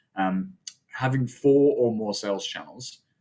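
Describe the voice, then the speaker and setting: A man with an Australian accent speaks with ordinary pitch variation. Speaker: webinar presenter. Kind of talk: webinar presentation. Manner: halting, many filler sounds.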